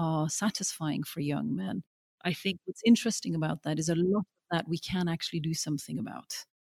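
A woman speaks at a fairly quick pace in a fairly low, somewhat breathy voice with a dark, mellow tone, ordinary pitch variation, and a dry, close sound with no echo. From Norway, Oslo; moved to UK at twelve. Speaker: documentary filmmaker. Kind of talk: interview conversation. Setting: remote call over the internet. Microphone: spotty audio, sound problems on her side.

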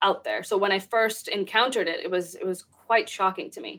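Speaking in an American accent, a plain, everyday voice keeps a fairly quick pace and fairly even intonation. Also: woman. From Texas. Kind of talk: interview.

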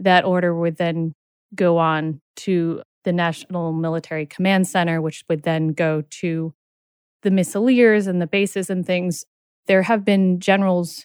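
In a very clean recording with a silent background and a dry, close sound with no echo, a woman with a normal speaking voice talks at a fairly slow pace, her fairly low pitch kept to fairly even intonation. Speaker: co-author and nuclear policy advocate. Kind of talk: serious interview discussion.

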